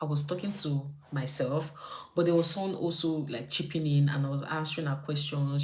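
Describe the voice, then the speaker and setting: In a room with audible echo, a woman with a very deep, low pitch and a somewhat breathy voice speaks at a fairly quick pace in a flat monotone. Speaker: YouTube vlogger. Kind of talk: casual livestream chat. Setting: live stream from home. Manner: fast.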